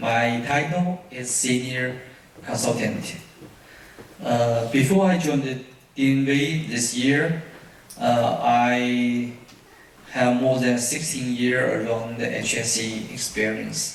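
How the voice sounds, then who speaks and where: Speaking very slowly with long, frequent pauses, a man with a Chinese accent keeps a medium pitch and ordinary pitch variation. Noticeable background noise and audible room echo fill the recording. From China. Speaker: safety consultant presenter. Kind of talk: conference presentation. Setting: auditorium with audience. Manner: halting, many fillers.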